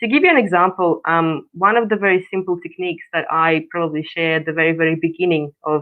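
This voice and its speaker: The speaker has a Russian accent and talks at a fairly quick pace. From Russia, Far East. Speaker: coach. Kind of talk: interview. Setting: live stream.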